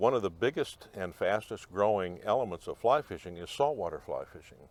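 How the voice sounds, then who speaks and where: A man talks at a moderate pace. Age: 70s. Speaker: fly fishing club member. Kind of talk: interview. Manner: halting.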